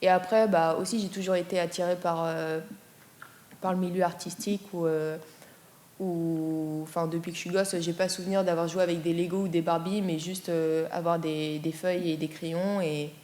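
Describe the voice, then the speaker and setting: The woman's fairly low voice stays monotone and flat in intonation, moving at a moderate pace. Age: 20s. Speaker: art student. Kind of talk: interview. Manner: hesitant, many fillers.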